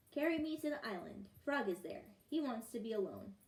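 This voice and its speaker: Fairly quick, fairly high put-on character voice from a woman. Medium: read story.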